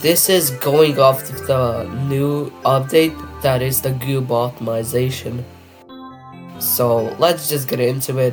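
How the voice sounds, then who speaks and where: A man speaks at a very slow pace and a medium pitch, with ordinary pitch variation and music in the background. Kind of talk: casual gaming commentary.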